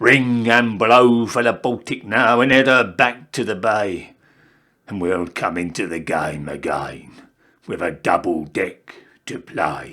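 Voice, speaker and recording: In a put-on character voice, a man speaks raspy and fairly slowly at a medium pitch with lively intonation, on a very clean recording with a silent background. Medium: read story.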